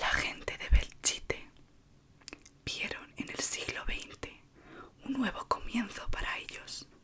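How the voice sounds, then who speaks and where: Whispering from a woman at a very slow pace, big swings in loudness, long, frequent pauses and noticeable background noise. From Spain, Madrid. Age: 20s. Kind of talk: ASMR horror story reading. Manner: soft-spoken, slow.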